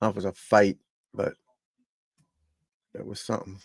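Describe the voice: A croaky man at a fairly quick pace, fairly low in pitch, with monotone, flat intonation.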